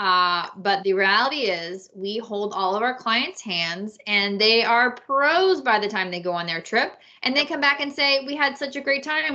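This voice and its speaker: A woman's normal speaking voice, fairly high in pitch, with lively intonation at a moderate pace. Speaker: podcast host and travel agent. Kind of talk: casual chat.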